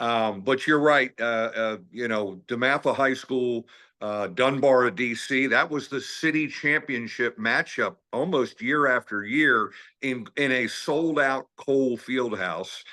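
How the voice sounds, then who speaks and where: Speaking at a fairly slow pace with a slight Maryland accent, a man uses a medium pitch, ordinary pitch variation and a bright, sharp tone against a quiet background. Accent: slight Maryland twang. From Washington, D.C. area / Maryland. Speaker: basketball coach. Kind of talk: interview.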